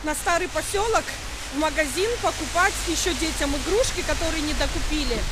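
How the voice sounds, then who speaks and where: A woman talks at a moderate pace. Loud background noise runs behind her. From Sukhum, Abkhazia. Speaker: mother and family vlogger. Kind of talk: casual vlog talk to camera. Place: street. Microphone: phone near.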